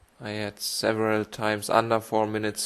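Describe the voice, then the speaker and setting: A man with a fairly low pitch, a German accent and a moderate pace. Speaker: esports cycling racer and commentator. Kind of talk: race highlights commentary. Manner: halting.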